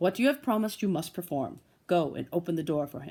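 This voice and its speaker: A put-on character voice at a middle pitch and a very fast pace. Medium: read story.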